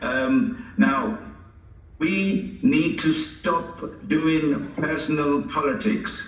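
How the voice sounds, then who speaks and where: Over noticeable background noise and audible room echo, a man talks at a very slow pace. His voice is high-pitched with very wide pitch swings. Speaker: parliamentary candidate. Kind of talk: hustings closing speech.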